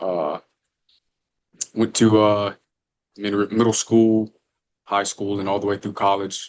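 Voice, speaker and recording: With an American accent, a man speaks at a moderate pace in a fairly low pitch and a monotone, flat intonation. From Alabama, near Birmingham. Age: 20s. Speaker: firefighter, former college baseball player. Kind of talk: podcast interview. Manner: casual, with many fillers.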